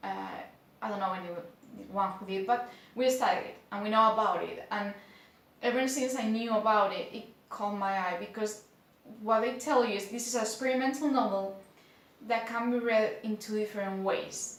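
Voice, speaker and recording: This voice has a Spanish accent and fairly even intonation. The pace is moderate. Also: woman, fairly high pitch for a woman. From Spain. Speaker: book reviewer. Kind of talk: casual talk to camera.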